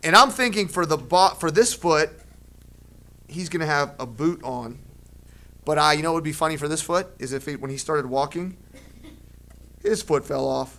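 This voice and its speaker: A man speaks at a moderate pace with long, frequent pauses and ordinary pitch variation. His fairly high voice has a bright, sharp, animated tone. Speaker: art teacher. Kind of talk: drawing tutorial for children. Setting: classroom with second grade pupils.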